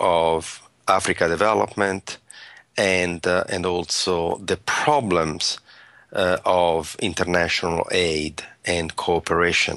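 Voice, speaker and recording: A man's very deep, low voice, bright and sharp in tone, monotone and flat, at a very slow pace against a quiet background. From Italy. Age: 60s. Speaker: social entrepreneur and author. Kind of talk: interview.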